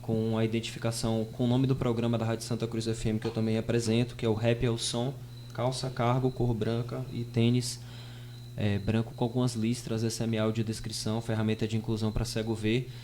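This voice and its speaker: A man's medium-pitched voice at a fairly quick pace, monotone and flat, with very even loudness. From Brazil, Bahia sertão (Piritiba). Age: 20s. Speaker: rapper and radio host, podcast guest. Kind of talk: podcast interview.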